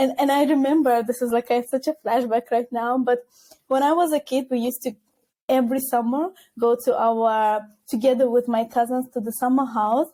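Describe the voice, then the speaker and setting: A woman with a non-native accent speaks fairly quickly at a high pitch. Her tone is dark and mellow. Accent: foreign accent, kept on purpose. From Azerbaijan, Baku. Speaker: recruiter. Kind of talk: podcast interview. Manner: animated.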